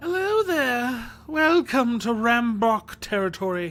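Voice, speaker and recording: A shrill, high-pitched, female-sounding put-on character voice at a fairly slow pace. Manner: mirthless, welcoming.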